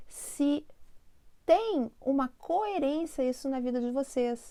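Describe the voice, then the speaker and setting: In a southern Brazilian accent, a woman speaks very slowly, her high voice full of lively intonation. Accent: gaúcho Brazilian Portuguese. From southern Brazil, Porto Alegre (Rio Grande do Sul). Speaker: spiritual teacher and channel host. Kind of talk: spiritual self-help talk to camera. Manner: conversational, addresses viewers directly.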